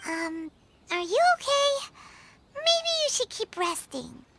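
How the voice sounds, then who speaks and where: The put-on character voice is squeaky and extremely high-pitched, moving at a fairly slow pace. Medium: video game. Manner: casual, friendly.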